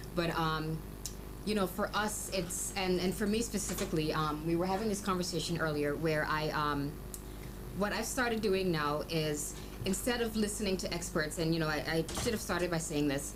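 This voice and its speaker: A woman's fairly low voice with ordinary pitch variation and very even loudness, audible room echo and noticeable background noise. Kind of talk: radio talk show interview. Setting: radio studio. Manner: fast.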